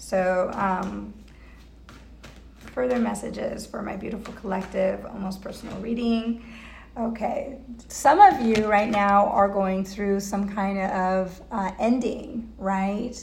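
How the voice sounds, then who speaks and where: A woman speaks at a very slow pace with fairly even intonation. The recording has noticeable background noise and audible room echo. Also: medium pitch for a woman, big swings in loudness. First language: not English. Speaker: tarot reader. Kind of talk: tarot reading livestream. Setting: Facebook live video. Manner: halting, many fillers.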